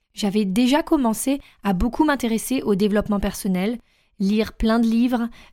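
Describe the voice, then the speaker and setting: In a very clean recording with a silent background, a woman with a fairly high pitch speaks at a fairly slow pace in a plain, everyday voice with ordinary pitch variation. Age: 30s. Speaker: life coach, podcast host. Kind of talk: solo podcast monologue, self-introduction.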